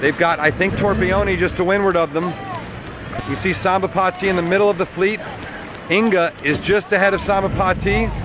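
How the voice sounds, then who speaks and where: Against crowd noise in the background, a man with a high pitch talks at a fairly quick pace, keeping his loudness very even. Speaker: sailing race commentator. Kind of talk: live commentary. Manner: animated.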